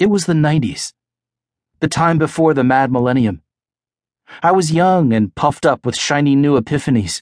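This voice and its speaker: A man's fairly high voice in a dramatic, weary tone, with ordinary pitch variation and a quiet background. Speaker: audiobook narrator. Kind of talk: audiobook narration, reading fiction aloud. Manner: slow, hushed, lyrical and mournful; dramatic, weary, reflective first-person storytelling.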